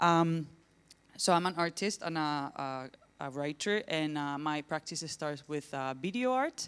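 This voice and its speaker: A woman's very deep, low voice at a fairly slow pace, with ordinary pitch variation, on a very clean recording with a silent background. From southern Spain, Granada. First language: Spanish. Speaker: academic researcher and artist. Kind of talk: conference presentation. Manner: hesitant, many fillers.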